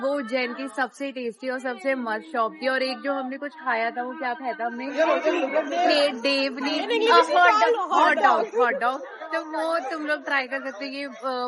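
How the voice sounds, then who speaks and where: Over crowd noise in the background, a woman speaks at a high pitch. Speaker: travel vlogger. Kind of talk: casual travel vlog. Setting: outdoors in a market. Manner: speaking louder than usual; animated. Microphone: voice comes out too quiet.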